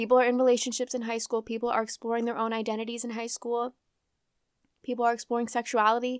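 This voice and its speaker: Talking very fast in a flat, monotone way, a woman with a fairly high pitch is heard on a very clean recording with a silent background and a dry, close sound with no echo. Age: 20s. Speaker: podcast host. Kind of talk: casual solo chat. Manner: casual, chatty, profane; fumbles words, stutters at times.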